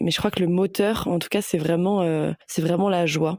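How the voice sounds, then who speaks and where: A woman speaks at a moderate pace with a fairly low pitch and fairly even intonation, her voice dry and close with no echo. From Paris suburbs, France. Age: 20s. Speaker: sustainability manager. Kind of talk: interview testimony. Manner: hesitant, many fillers.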